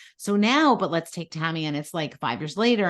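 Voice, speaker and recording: An animated woman's voice with fairly low pitch. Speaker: sex therapist. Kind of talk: interview. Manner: fast.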